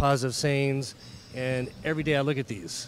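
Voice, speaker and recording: Here is a man with a plain, everyday voice. He speaks at a medium pitch with fairly even intonation. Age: 40s. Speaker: bodybuilding competitor. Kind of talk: interview. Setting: gym.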